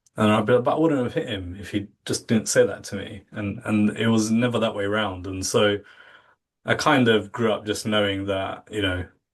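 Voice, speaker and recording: A British accent at a moderate pace, fairly even intonation, and a quiet background. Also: man. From England. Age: 40s. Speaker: contact centre industry professional. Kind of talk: podcast interview.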